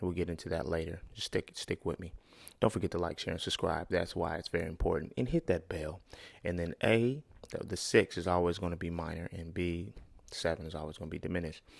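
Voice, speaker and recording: The recording is very clean with a silent background. A man with a very deep, low pitch speaks at a very fast pace with fairly even intonation. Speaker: music producer and tutorial youtuber. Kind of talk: tutorial. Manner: casual, conversational.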